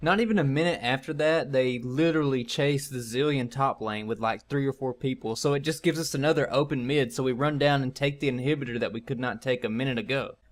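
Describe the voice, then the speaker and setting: A man with a Southern US accent talks at a very fast pace in a fairly high pitch, with ordinary pitch variation and hardly any pauses. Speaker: gaming YouTuber. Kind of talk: gameplay guide commentary. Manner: casual.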